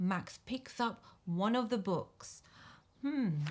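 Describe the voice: What you hear is simple reading aloud.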